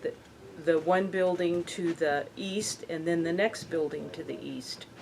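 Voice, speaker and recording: Over noticeable background noise, a woman with a Western US accent speaks fairly slowly in a fairly low voice, her intonation fairly even. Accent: American, Western US. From Colorado, Windsor. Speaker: local business owner. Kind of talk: oral history interview. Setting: hardware store.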